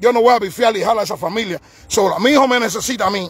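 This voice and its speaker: Ordinary pitch variation in a very fast, high-pitched male voice. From Cuba, Havana. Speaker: parent of a political prisoner, activist. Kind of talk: live-stream testimony and protest. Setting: live stream. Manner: halting, repetitive; emphatic.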